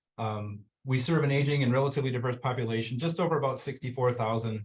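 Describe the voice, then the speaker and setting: Very fast and somewhat breathy, a man talks in a Minnesotan accent with fairly even intonation. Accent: Minnesota. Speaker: fire department EMS officer. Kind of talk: webinar presentation. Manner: hesitant, many fillers.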